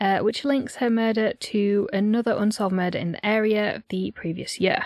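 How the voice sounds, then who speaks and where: At a moderate pace, a woman speaks at medium pitch with fairly even intonation. The sound is dry and close with no echo, in a very clean recording with a silent background. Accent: northeastern English. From North Yorkshire, England. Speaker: podcast co-host. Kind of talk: scripted narration; casual chat.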